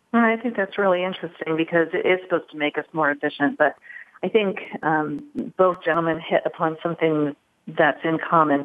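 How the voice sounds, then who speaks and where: Here is a woman with a normal speaking voice and a fairly low pitch. Her pitch variation is ordinary. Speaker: HR technology panelist. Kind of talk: panel discussion.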